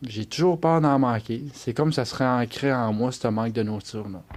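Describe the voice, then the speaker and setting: A man with a Quebec accent talks at a medium pitch and a moderate pace, with ordinary pitch variation, in a very clean recording with a silent background. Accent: Québécois French. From Quebec, Eastern Townships (Bromptonville). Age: 30s. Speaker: adoptee telling his story. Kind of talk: personal testimony. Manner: hesitant, frequent 'euh'.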